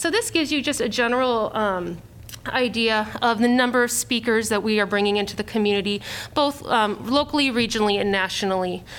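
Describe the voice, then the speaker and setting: Speaking at a moderate pace, a woman has a plain, everyday voice. Her pitch is fairly high. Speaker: nonprofit event organizer. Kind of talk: public meeting presentation.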